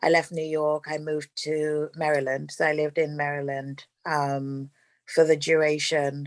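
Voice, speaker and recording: A very clean recording with a silent background captures a woman with a London accent speaking in a very deep, low voice with monotone, flat intonation. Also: moderate pace. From London, England. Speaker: real estate investor. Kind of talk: interview.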